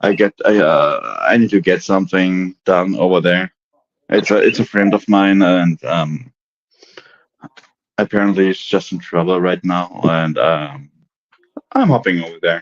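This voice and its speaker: A man's very deep, low voice with a slight German accent, fairly even intonation, a fairly slow pace and long, frequent pauses, in a dry, close recording with no echo. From Germany. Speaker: livestream panel guest. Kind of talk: casual chat. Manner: halting, many restarts and fillers.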